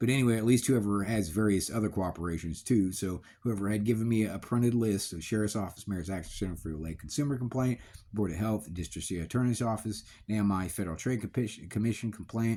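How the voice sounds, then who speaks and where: Very fast and fairly low in pitch, a man's voice carries a dark, mellow tone. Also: ordinary pitch variation. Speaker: vlogger. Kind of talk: casual monologue. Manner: rambling, halting with self-corrections; lowered voice.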